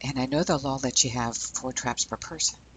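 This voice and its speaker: A quiet man at a fairly slow pace. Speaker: boat captain and fishing video narrator. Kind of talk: on-location documentary narration. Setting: outdoors on a fishing pier. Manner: hushed, talking quietly; animated.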